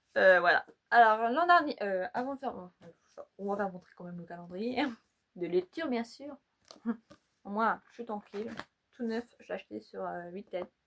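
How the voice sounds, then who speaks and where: Her loudness swinging widely, a woman with a fairly high voice speaks at a moderate pace and leaves long, frequent pauses. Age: 20s. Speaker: YouTuber. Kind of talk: casual vlog. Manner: halting.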